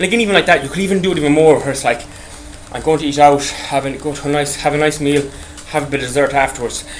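Noticeable background noise surrounds a man talking at a very fast pace. His pitch is fairly high, with ordinary variation. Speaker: podcast host. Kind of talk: casual monologue. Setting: on an exercise bike. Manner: rambling, halting.

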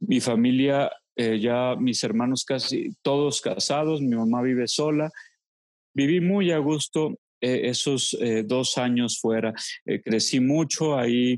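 Speech comes at a very slow pace, with very even loudness and ordinary pitch variation. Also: man, medium pitch for a man. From Mexico, Los Altos de Jalisco. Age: 40s. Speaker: theologian and psychologist. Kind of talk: interview. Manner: halting.

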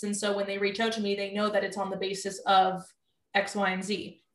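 A woman's normal speaking voice, medium in pitch, at a fairly quick pace. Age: 20s. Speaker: nutritionist. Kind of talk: casual chat.

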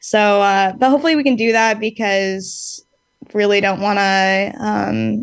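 Speaking with an American accent, this is an ordinary speaking voice at a fairly slow pace. Pitch variation is ordinary. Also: woman. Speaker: band singer. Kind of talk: casual interview chat.

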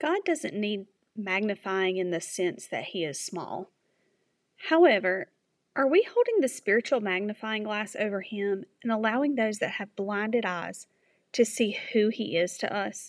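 Fairly high-pitched and at a fairly slow pace, a woman with an ordinary speaking voice speaks with lively intonation. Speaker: devotional speaker. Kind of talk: devotional reflection. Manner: earnest.

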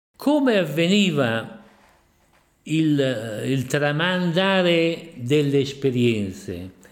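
A man at a fairly high pitch with very wide pitch swings, a very slow pace and long, frequent pauses, amid audible room echo. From Ferrara province, Italy. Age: 90s. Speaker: eyewitness. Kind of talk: testimony.

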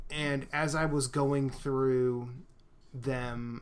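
A man speaks in an unremarkable speaking voice at medium pitch. His intonation is fairly even. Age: 40s. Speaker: podcast co-host. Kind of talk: casual chat.

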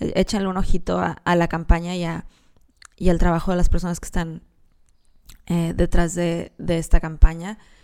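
A woman with a Mexican accent speaks at a fairly slow pace and a fairly low pitch, her intonation monotone and flat, her loudness swinging widely. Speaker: podcast host and animal rights columnist. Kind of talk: solo podcast monologue.

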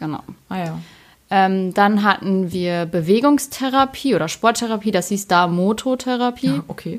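In a very clean recording with a silent background, a woman speaks at a moderate pace in a plain, everyday voice with ordinary pitch variation. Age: 20s. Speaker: ice cream maker, former psychiatric patient. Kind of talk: casual chat.

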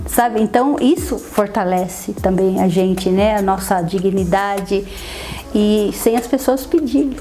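Over noticeable background noise, a woman speaks at a very even loudness. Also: medium pitch for a woman, ordinary pitch variation, fairly slow pace. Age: 50s. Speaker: photographer and writer. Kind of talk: interview testimony. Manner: halting, frequent fillers.

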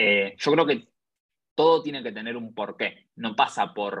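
A man speaks in a normal speaking voice, with ordinary pitch variation. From Argentina. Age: 20s. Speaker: entrepreneur. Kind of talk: interview.

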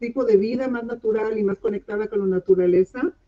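Dark, mellow tone from a woman pitched fairly high. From Mexico, then Israel from age 12. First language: English and Hebrew (speaking Spanish). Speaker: body-mind therapist, clinical social worker. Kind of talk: online talk show interview. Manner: halting, searching for words.

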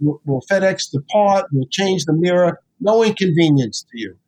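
A man talks at a moderate pace. His pitch is high and his intonation lively. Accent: New York. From New York City (South Bronx). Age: 70s. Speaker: chiropractor and author. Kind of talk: interview conversation. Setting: video call. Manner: enthusiastic, animated.

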